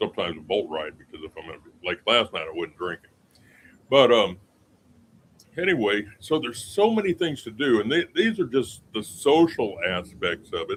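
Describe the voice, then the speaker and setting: A man with an American accent speaks at a moderate pace. His loudness swings widely. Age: 60s. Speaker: retired expat vlogger. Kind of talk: casual live stream chat. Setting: outdoors on a balcony. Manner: halting, many fillers.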